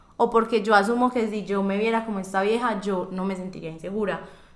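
Audible room echo surrounds speech that unfolds at a moderate pace, its pitch varying in an ordinary way. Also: woman. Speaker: podcast host. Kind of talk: casual chat.

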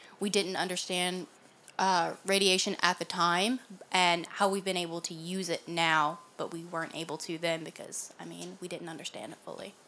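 A woman with a Southern US accent speaks in a fairly low pitch, her bright, sharp tone carried on fairly even intonation. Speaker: podcast co-host. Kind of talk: casual chat.

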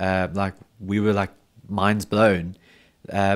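A man with a South African accent speaks at a fairly slow pace and a fairly low pitch. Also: very clean recording, silent background. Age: 30s. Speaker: metal festival promoter. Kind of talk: casual chat. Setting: studio.

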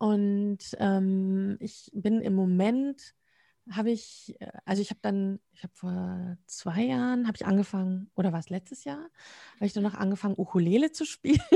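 A woman's somewhat breathy voice with a dark, mellow tone, medium pitch, ordinary pitch variation and moderate pace, in a quiet background with a dry, close sound and no echo. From Münsterland, western Germany. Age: 50s. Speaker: communication trainer and coach. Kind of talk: interview conversation. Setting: video call. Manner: frequent laughter.

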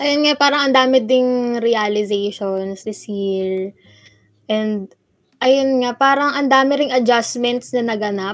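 At a very slow pace, a woman speaks in a high pitch with ordinary pitch variation. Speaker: student radio host. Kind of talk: casual chat. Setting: remote call from home. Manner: animated.

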